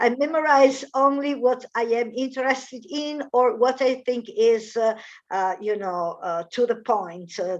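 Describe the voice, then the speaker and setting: Against a quiet background, a woman speaks fairly slowly at a fairly high pitch, her intonation lively. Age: 50s. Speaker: English teacher. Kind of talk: language lesson conversation. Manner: hesitant.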